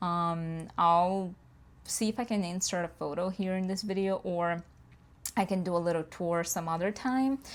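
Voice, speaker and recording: On a very clean recording with a silent background, a woman talks at a medium pitch with ordinary pitch variation. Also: moderate pace. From Brazil. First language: Portuguese. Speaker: planner youtuber. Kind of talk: casual chat. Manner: halting.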